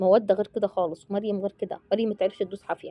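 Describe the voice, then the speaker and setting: The voice runs at a very fast pace in an animated tone. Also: woman. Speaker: family vlogger. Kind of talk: casual vlog chat. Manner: lowered voice.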